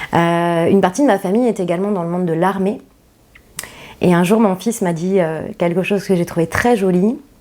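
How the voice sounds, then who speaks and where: Her pitch is medium, with ordinary pitch variation. The woman talks at a moderate pace in a dark, mellow tone. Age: 40s. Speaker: company founder. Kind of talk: interview. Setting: podcast interview. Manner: hesitant with many fillers.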